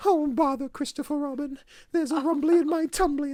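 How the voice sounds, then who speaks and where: This put-on character voice has a high pitch and a fairly quick pace. The recording is very clean, with a silent background. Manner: gentle, rambling.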